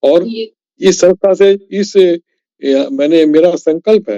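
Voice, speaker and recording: Dark, mellow tones from a man, recorded dry and close with no echo. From Kanpur, India. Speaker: author and retired engineer. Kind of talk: podcast interview answer.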